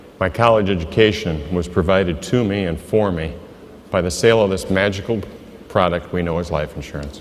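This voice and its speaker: A man with a very deep, low voice speaks at a fairly quick pace. The room echoes audibly, and background noise is noticeable. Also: ordinary pitch variation. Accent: Midwestern American. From US Midwest, Iowa. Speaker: insurance agent. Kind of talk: motivational speech.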